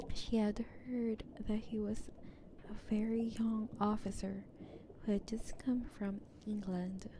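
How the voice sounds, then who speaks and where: Soft-spoken and monotone, the speaker goes at a fairly slow pace with long, frequent pauses over noticeable background noise. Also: woman, fairly high pitch for a woman. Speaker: VTuber streamer. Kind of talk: casual chat; reading aloud. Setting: live stream.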